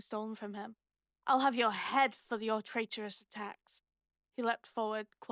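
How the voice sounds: A natural reading voice with fairly even intonation sounds against a quiet background.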